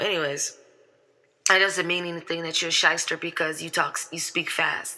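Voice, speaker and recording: At a moderate pace, a woman speaks in a bright, sharp tone with vocal fry. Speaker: online commentator. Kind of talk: reaction commentary.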